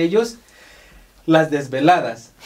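With an unremarkable speaking voice, a man talks at a fairly slow pace, his pitch fairly high and his intonation lively. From Mexico, Oaxaca. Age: 30s. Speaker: podcast host. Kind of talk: casual interview. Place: studio.

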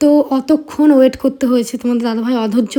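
A woman with a high pitch and fairly even intonation speaks over noticeable background noise. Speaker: vlogger. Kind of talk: travel vlog narration. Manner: chatty, conversational.

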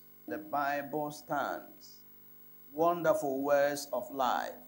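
Words come from a man at a very slow pace. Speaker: pastor leading a Bible study. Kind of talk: sermon. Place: studio. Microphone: lapel.

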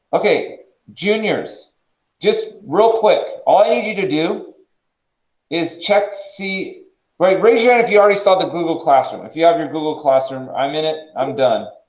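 In a room with audible echo but a quiet background, a high-pitched man talks at a moderate pace with lively intonation. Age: 40s. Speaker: high school math teacher. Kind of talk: classroom lecture. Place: classroom. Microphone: video call.

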